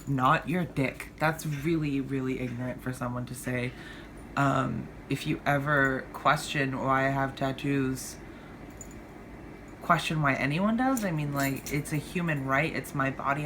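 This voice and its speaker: A woman's very deep, low voice at a moderate pace, with fairly even intonation and audible room echo. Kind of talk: personal vlog monologue. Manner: stumbles over words, slurs; hesitant, many fillers.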